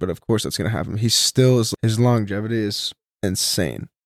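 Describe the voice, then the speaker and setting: A man with an unremarkable speaking voice talks at a fairly quick pace and medium pitch. The sound is dry and close with no echo, and his pitch variation is ordinary. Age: 20s. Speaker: podcast host and college football player. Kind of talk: casual chat.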